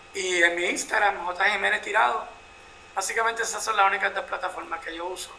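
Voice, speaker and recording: Against noticeable background noise, a man uses a raised, projected voice at a high pitch, with ordinary pitch variation and a fairly quick pace. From Puerto Rico. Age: 50s. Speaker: photojournalist. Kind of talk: interview.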